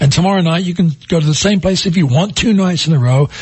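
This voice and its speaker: Lively intonation marks this man's high-pitched speech. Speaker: entertainment agency representative. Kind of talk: casual chat. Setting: studio.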